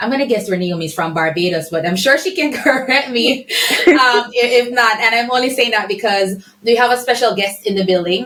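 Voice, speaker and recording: A woman's fairly high voice, lively in intonation and fairly quick in pace, against noticeable background noise. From Jamaica. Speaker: podcast host. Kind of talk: casual podcast interview.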